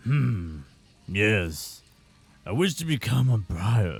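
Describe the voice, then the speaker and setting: A man puts on a character voice, fairly low in pitch, with very wide pitch swings. He speaks at a very slow pace. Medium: game stream.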